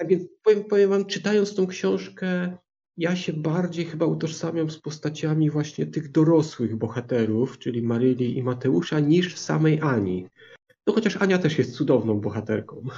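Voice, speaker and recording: Speaking at a moderate speed in a fairly high pitch, a man lets his voice swing very widely up and down. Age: 50s. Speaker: book podcaster. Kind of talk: casual chat.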